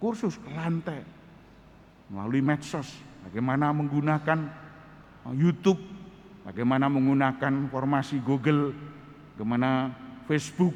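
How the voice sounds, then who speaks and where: Pausing long and often, a man with a fairly high pitch speaks at a moderate pace with ordinary pitch variation. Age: 60s. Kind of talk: sermon.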